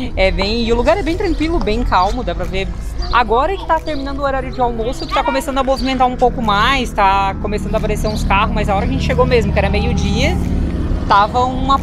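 Over clear background music, a woman talks at a very fast pace, her voice dry with no echo. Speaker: travel vlogger. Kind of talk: casual vlog chat. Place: street. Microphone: phone near.

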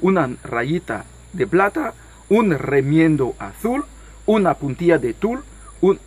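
Reading done in a natural voice

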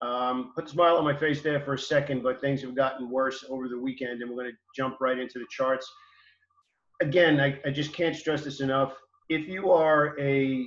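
A man at a moderate pace, fairly even intonation, with audible room echo. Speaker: stock trading educator. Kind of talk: casual market commentary. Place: home room. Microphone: webcam.

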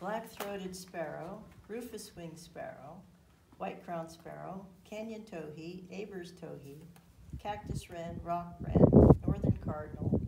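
With vocal fry and a dark, mellow tone, the voice moves at a slow pace amid audible room echo. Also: woman, fairly low pitch for a woman, ordinary pitch variation.

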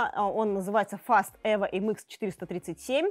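Against a quiet background, a woman speaks. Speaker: product reviewer for motorcycle store. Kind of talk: product review presentation. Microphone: lapel.

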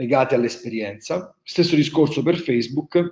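Talking at a fairly quick pace with fairly even intonation, a man is heard with audible room echo against a quiet background. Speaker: wine tourism entrepreneur, webinar speaker; webinar presenter. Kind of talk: webinar presentation; lecture. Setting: online webinar. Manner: hesitant, many fillers. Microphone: webcam.

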